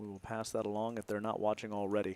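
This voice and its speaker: A soft-spoken man with a fairly low voice, the sound dry and close with no echo. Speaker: poker commentator. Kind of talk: live commentary.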